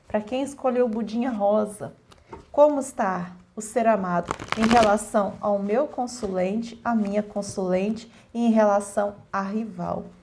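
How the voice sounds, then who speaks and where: Over noticeable background noise, a woman speaks fairly slowly with a fairly high pitch and fairly even intonation. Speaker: tarot card reader. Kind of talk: collective tarot reading.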